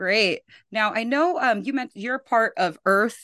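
A woman at a moderate pace, dry and close with no echo, over a quiet background. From Philippines. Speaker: podcast host. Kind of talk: interview conversation.

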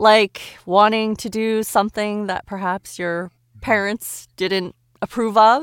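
Fairly high-pitched, a woman speaks at a very slow pace with fairly even intonation. The recording is very clean, with a silent background and a dry, close sound with no echo. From Montreal, Canada. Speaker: voice actor. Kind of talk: casual podcast interview.

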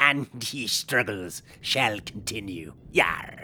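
At a very slow pace, a man uses a put-on character voice pitched at a medium level. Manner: comedic, repetitive.

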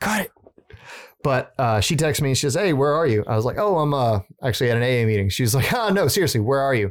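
The speech races at a very fast pace with lively intonation. It carries a slight Southern US accent. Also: man, medium pitch for a man. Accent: little Southern. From Southern Louisiana. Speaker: musician. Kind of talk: casual chat.

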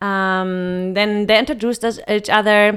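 Speaking slowly, fairly so, a woman with a German accent has a medium pitch and a bright, sharp tone on a very clean recording with a silent background. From western Germany near the Netherlands.

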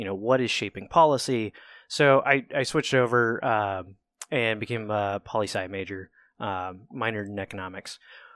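With an American accent, a man speaks at a moderate pace in an unremarkable speaking voice, his fairly low pitch showing ordinary variation on a very clean recording with a silent background. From Southeast Ohio, Appalachia (Cambridge, Ohio). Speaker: podcast guest, father of daughters. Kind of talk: casual chat.

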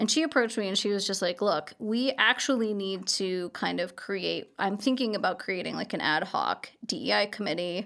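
The voice has vocal fry and an American accent. It runs on with hardly any pauses. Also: woman, medium pitch for a woman, ordinary pitch variation, moderate pace. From Colorado, US (Highlands Ranch, Denver suburbs). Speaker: lawyer. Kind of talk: casual interview. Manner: casual, filler-heavy.

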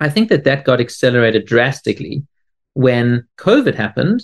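A man with a South African accent at a moderate pace, in a dry, close sound with no echo. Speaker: tech company CEO. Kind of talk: interview.

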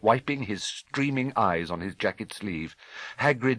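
Lively intonation marks this reading aloud in a natural voice.

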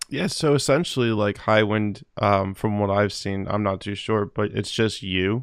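A man's normal speaking voice with an American accent, fairly low in pitch, at a moderate pace with hardly any pauses and ordinary pitch variation. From New Jersey. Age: 20s. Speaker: podcast host. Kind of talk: casual interview.

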